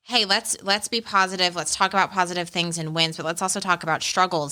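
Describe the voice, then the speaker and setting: With an American accent, a woman speaks at a very fast pace in a bright, sharp tone. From Arizona, US. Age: 30s. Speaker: life coach. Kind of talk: podcast interview. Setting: in studio, sitting across from host.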